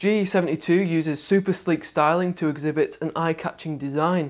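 Over a quiet background, a man with a high pitch speaks at a moderate pace with fairly even intonation. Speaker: tech reviewer. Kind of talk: product review presentation. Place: studio.

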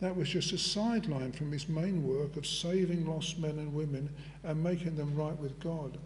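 A man with a high voice talks at a moderate speed, his intonation fairly even. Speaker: preacher. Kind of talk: sermon. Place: church.

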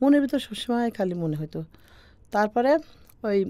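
A woman's dark, mellow tone with ordinary pitch variation. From Bangladesh, Pabna district; Bangladesh. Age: 40s. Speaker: farmer. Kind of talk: life story interview. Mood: warm, reflective, smiling. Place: studio. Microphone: studio mic.

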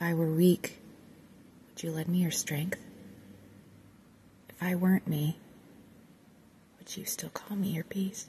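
A woman with a fairly low pitch and a dark, mellow tone speaks in a somewhat breathy, monotone, flat way, with big swings in loudness and long, frequent pauses. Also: fairly slow pace. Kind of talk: ASMR poetry reading.

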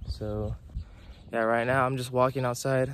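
Light background noise sits under a man speaking at a fairly quick pace, the sound dry with no echo. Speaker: youth soccer player vlogger. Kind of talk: casual vlog chat. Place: street. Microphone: phone near.

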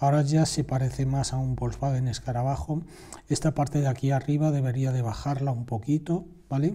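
A man talks at a fairly quick pace with a slightly breathy, dark and mellow tone. His pitch is medium and his intonation fairly even. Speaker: drawing teacher. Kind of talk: tutorial. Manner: halting.

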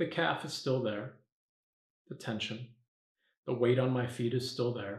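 Somewhat breathy and slow, a man speaks with fairly even intonation and long, frequent pauses in audible room echo. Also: quiet background. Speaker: meditation teacher. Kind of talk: guided meditation. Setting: video, standing up while demonstrating. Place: home room.

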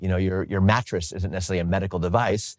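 A man is speaking here. His voice sits at a very deep, low pitch. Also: quiet background, dry sound with no echo. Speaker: interviewee. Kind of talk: interview answer. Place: home room.

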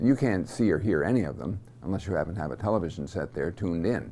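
A man is talking at a fairly quick pace. There is light background noise behind him. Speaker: seminary teacher. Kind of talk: lecture. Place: studio. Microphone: lapel.

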